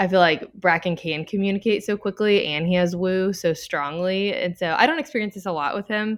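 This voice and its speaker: A woman in a Louisiana accent at a fairly quick pace with hardly any pauses, medium pitch and ordinary pitch variation, against a quiet background. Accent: Southern US (Louisiana). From Louisiana, Baton Rouge. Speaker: stay-at-home mom. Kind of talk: casual interview.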